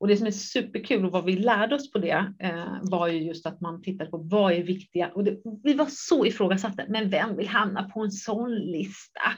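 A woman speaks in an ordinary speaking voice at a medium pitch, with ordinary pitch variation and a moderate pace. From Japan. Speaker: entrepreneur. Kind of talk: interview.

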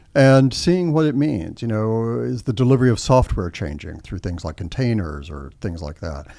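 A man with an American accent speaks at a fairly low pitch and a moderate pace. His pitch swings very widely, in a very clean recording with a silent background. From Texas, Austin. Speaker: tech company policy executive. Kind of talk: interview.

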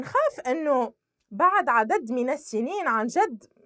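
Pitch swings very widely as the speech unfolds at a fairly slow pace. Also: woman. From Tunisia, Sfax. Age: 20s. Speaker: civil society activist. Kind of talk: interview testimony.

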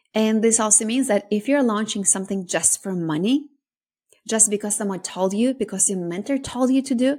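A woman speaks in a dark, mellow tone that is somewhat breathy. The recording is very clean, with a silent background. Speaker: podcast host and business coach. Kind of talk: solo podcast monologue. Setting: recorded podcast.

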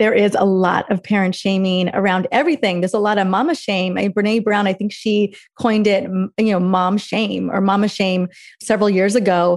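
At a fairly quick pace, a woman speaks at medium pitch with very even loudness. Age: 40s. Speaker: functional medicine practitioner. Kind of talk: casual chat. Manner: animated.

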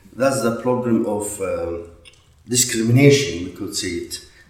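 A man talks amid noticeable background noise, his voice ringing with audible room echo. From Iraq. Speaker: priest. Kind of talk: interview. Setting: in person in Baghdad. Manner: halting.

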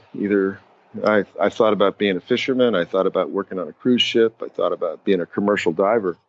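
This man has a plain, everyday voice with an American accent. His pitch is fairly low, with ordinary pitch variation, and he talks at a fairly quick pace. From Massachusetts, US (Boston area). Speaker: ocean scientist. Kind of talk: interview.

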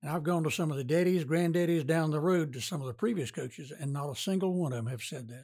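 A man speaks very fast in a somewhat breathy, fairly high voice with a Southern US accent and ordinary pitch variation. The recording is very clean, with a silent background. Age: 80s+. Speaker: retired pharmacist and sports radio announcer. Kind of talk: casual interview.

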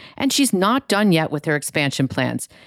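A woman's ordinary speaking voice, fairly low in pitch and at a fairly quick pace, on a very clean recording with a silent background. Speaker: podcast host. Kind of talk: interview.

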